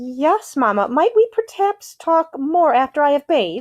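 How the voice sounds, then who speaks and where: This is a put-on character voice with very wide pitch swings. It moves at a moderate pace. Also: female-sounding voice, high pitch for a woman. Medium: read story.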